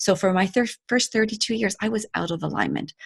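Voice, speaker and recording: A woman talks at a fairly quick pace with vocal fry and ordinary pitch variation over a quiet background. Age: 50s. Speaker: life coach. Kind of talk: casual chat. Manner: animated.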